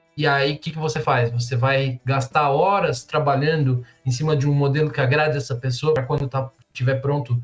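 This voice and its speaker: A man with a fairly high, somewhat breathy voice talks at a fairly quick pace with fairly even intonation. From Brazil, São Paulo. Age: 20s. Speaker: tech professional. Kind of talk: casual chat.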